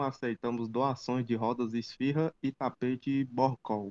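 A man talks fairly slowly at a medium pitch. His intonation stays monotone and flat. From Ceará, Brazilian Northeast. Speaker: diesel mechanic commentator. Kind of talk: casual chat. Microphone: poor audio in early parts, improves later.

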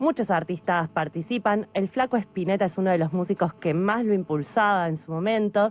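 Heard in a very clean recording with a silent background, a woman has a plain, everyday voice. Her pitch is medium, with ordinary pitch variation. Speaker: radio host. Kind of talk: radio interview; news reading.

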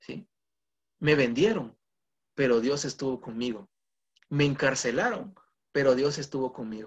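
The voice is somewhat breathy and moves at a fairly slow pace, with long, frequent pauses, ordinary pitch variation and big swings in loudness. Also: man, medium pitch for a man. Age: 20s. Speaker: guest preacher. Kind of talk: sermon. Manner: halting.

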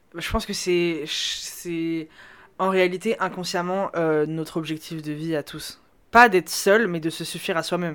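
In a normal speaking voice, a woman talks fairly slowly and fairly low, her intonation fairly even but her loudness swinging widely, on a very clean recording with a silent background. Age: 20s. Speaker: data scientist. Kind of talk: casual chat.

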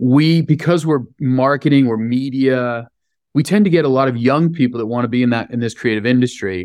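Against a quiet background, a man with an American accent speaks fairly quickly at a medium pitch with ordinary pitch variation. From US West Coast, San Francisco. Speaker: hospitality business executive. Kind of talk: interview. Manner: frequent repetitions and hesitations.

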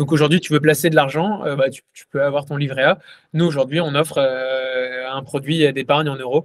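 This man has a plain, everyday voice with a fairly high pitch and a moderate pace. His intonation stays fairly even while his loudness swings widely. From France. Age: 20s. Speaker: crypto startup co-founder. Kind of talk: podcast interview.

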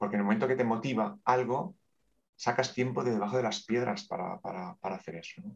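The speaker talks at a fairly quick pace with lively intonation and big swings in loudness. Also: man, medium pitch for a man. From Catalonia, Spain (Terrassa, Barcelona province). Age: 50s. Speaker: bank manager and aspiring coach. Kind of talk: interview. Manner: talkative.

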